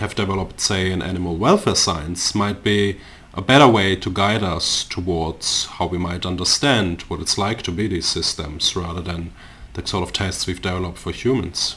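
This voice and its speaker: A man talks at a moderate pace with ordinary pitch variation. His voice is very deep and low. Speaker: podcast host and philosophy lecturer; podcast host, philosophy lecturer. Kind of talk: casual interview conversation. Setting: recorded at home. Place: home room. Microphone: studio mic.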